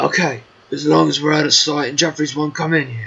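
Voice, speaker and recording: A man does a put-on character voice, raspy and fairly high-pitched, at a fairly quick pace. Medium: machinima. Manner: grumbly.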